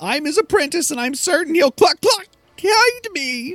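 This put-on character voice has an extremely high pitch and moves at a fairly slow pace. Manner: clucking, comical.

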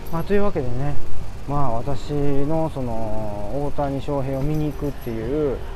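Amid noticeable background noise and audible room echo, a man talks at a fairly slow pace and a fairly high pitch with fairly even intonation. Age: 40s. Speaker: podcaster, diet coach and office manager. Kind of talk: casual solo monologue. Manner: chatty, many fillers.

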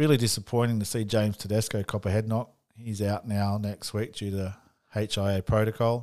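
An Australian accent in a monotone, flat delivery, on a very clean recording with a silent background. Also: man, fairly low pitch for a man. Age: 40s. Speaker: sports podcast host. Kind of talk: solo sports tips podcast. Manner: casual, some hesitations.

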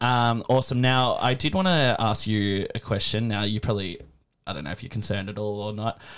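In a very clean recording with a silent background, a man with an Australian accent talks at a fairly quick pace, medium in pitch with ordinary pitch variation. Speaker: podcast host. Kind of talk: casual interview. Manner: hesitant, filler-heavy.

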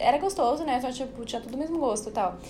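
Noticeable background noise with audible room echo. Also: woman. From Brazil, São Paulo. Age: young. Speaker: podcast guest, traveler. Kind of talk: casual chat.

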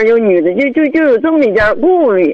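A woman speaks at a high pitch with very wide swings up and down. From Hebei, Baoding. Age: 50s. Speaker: caller seeking advice. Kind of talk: radio call-in consultation. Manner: halting, many fillers.

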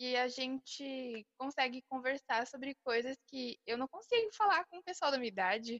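A woman's high-pitched voice with lively intonation, moderate pace and hardly any pauses, dry and close with no echo. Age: young (almost 19). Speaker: podcast co-host, small business owner. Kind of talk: casual chat.

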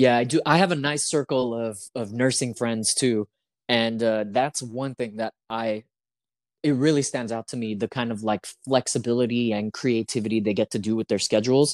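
Recorded very cleanly against a silent background, dry and close with no echo, a man talks at a moderate pace in an unremarkable speaking voice, medium in pitch, with fairly even intonation. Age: 30s. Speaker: podcast host. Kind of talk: casual chat.

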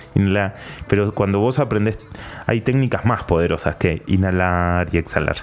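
A man with an Argentine accent, fairly low pitch and ordinary pitch variation, at a moderate pace and very even loudness, over noticeable background noise. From Argentina, Patagonia. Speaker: meditation and breathing teacher. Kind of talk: interview.

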